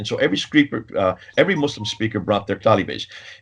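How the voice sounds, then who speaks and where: A man is talking at a very fast pace. His voice is somewhat breathy. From India. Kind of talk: interview.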